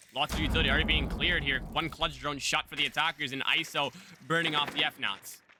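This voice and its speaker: At a very fast pace and very even loudness, a man with a fairly high pitch speaks over noticeable background noise. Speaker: esports caster. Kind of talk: live commentary. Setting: live stream. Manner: animated.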